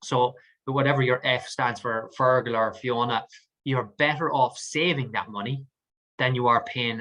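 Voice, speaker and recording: A bright, sharp tone in an Irish accent. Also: man. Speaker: mortgage advisor. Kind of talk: webinar presentation with Q&A. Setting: online webinar. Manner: fast.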